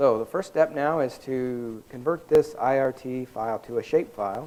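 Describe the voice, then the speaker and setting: The voice has a dark, mellow tone, ordinary pitch variation, and a moderate pace. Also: man, medium pitch for a man. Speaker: workshop instructor. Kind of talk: software tutorial. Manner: halting.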